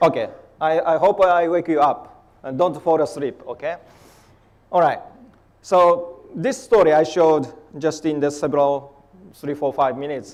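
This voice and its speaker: Speaking in a Japanese accent at a moderate pace, a man uses a fairly high pitch with ordinary pitch variation. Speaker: polar scientist. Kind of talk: conference talk. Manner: halting.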